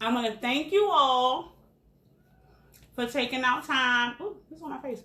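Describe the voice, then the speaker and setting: With a raised, projected voice, a woman speaks fairly slowly at a high pitch in a bright, sharp tone, her intonation lively, her loudness swinging widely and her pauses long and frequent. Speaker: caterer and cooking show host. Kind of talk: casual cooking demonstration.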